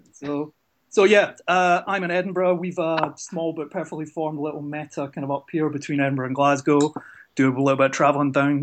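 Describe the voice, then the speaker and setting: A man with a Scottish accent talks fairly quickly in a fairly high voice. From Scotland. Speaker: card game player. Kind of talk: casual chat.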